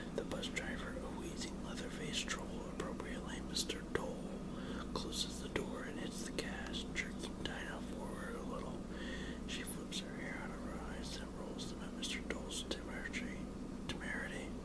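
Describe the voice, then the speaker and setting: A whisper comes through at a moderate pace, with noticeable noise in the background. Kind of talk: audiobook-style reading of a teen novel, first person narration. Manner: whispered, soft-spoken.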